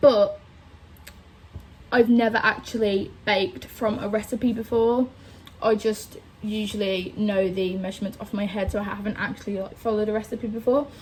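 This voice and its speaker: A woman with a Birmingham accent speaks at a fairly high pitch. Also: fairly even intonation, moderate pace. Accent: Birmingham (Brummie) English. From England, Birmingham. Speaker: vlogger. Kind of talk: casual chat.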